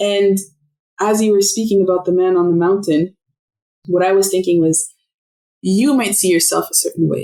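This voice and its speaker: With a French accent and a dark, mellow tone, a woman at medium pitch speaks at a moderate pace, taking long, frequent pauses, her loudness very even and her intonation fairly even. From Canada, Montreal then Ottawa. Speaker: podcast guest. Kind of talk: casual interview conversation.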